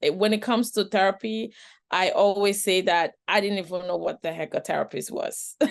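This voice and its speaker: At a moderate pace and with a non-native accent, this speaker keeps a fairly even intonation over a quiet background. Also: woman. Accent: noticeable foreign. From outside the Western world, moved to US at age nine. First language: not English. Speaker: trafficking survivor and professional panelist. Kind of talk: webinar panel discussion. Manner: conversational, many fillers and repetitions.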